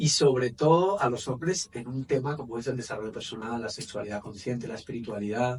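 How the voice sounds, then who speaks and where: A man with a medium pitch talks fairly quickly, leaving hardly any pauses and using ordinary pitch variation. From Spain, Valencia area. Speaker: men's coach and therapist. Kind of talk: interview.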